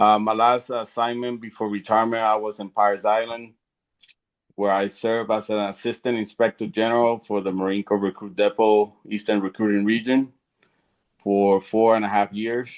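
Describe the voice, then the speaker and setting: Speaking with a Puerto Rican accent, a man with a fairly low pitch talks at a moderate pace in a monotone, flat intonation. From Puerto Rico. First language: Spanish. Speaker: retired Marine veteran. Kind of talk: panel self-introduction.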